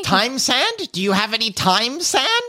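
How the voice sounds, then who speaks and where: A female-sounding voice puts on a character voice at a moderate pace, pitched high. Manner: acted, asking for an item.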